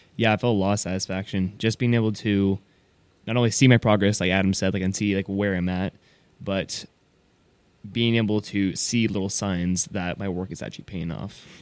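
A man talks in a plain, everyday voice at a fairly low pitch and fairly quick pace, with fairly even intonation. The recording is very clean, with a silent background. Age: 18. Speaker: recent high school graduate, host's son. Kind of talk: casual panel discussion. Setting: studio.

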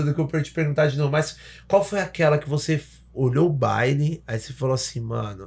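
The man's voice is fairly high and somewhat breathy, at a fairly quick pace. The recording is very clean, with a silent background. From Salvador, Bahia, Brazil. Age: 30s. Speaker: podcast host. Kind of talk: casual chat. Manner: animated.

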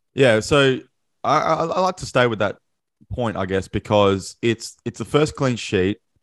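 A man with an Australian accent, medium pitch and ordinary pitch variation, at a moderate pace against a quiet background. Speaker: podcast host. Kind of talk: casual chat. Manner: excitable.

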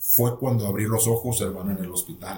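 A somewhat breathy man's voice at a medium pitch. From northern Mexico, rural Nuevo León. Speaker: pastor. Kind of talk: testimony.

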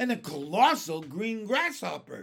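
Shouting in a put-on character voice, a man uses a high pitch with big swings, a fairly bright tone, vocal fry and a slightly husky edge, at a fairly slow pace.

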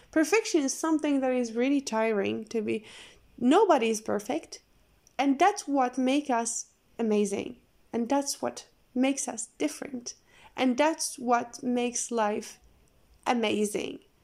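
The speaker has a non-native accent and a fairly slow pace with long, frequent pauses. Pitch varies in an ordinary way. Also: woman, high pitch for a woman. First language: not English. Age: 20s. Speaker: podcast host. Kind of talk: casual monologue. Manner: halting.

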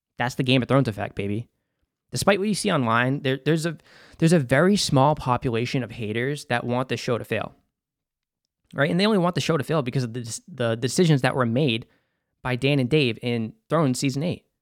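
A man's animated, very fast delivery at medium pitch with ordinary pitch variation, on a very clean recording with a silent background. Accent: Boston. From US Northeast, Boston. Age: 30s. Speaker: podcast host. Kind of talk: casual solo podcast commentary. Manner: animated, profane, joking.

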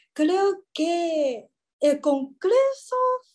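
A woman's extremely high voice with very wide pitch swings and a Mandarin Chinese accent. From Taiwan. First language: Mandarin Chinese (speaking Spanish). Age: 20s. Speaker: former exchange intern. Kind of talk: interview. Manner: halting, searching for words.

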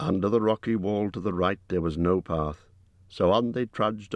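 With ordinary pitch variation, the reading voice stays unforced.

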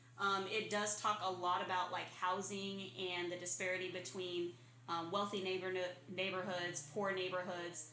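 In an American accent, a woman talks at a medium pitch and a moderate pace with fairly even intonation. Audible room echo and noticeable background noise are present. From Arizona. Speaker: podcast co-host. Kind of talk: casual chat. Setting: apartment without AC.

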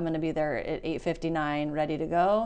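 This woman has an ordinary speaking voice with a fairly low pitch. She moves at a fairly quick pace. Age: 40s. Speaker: educator, dean of students. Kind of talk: casual interview.

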